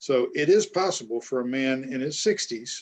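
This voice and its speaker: This man speaks at a medium pitch with ordinary pitch variation. It is an ordinary speaking voice. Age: 60s. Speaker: author and podcast host. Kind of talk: casual chat.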